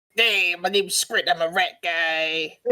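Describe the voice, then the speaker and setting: Using a put-on character voice at a middle pitch, the speaker talks at a fairly slow pace. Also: female-sounding voice. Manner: mocking.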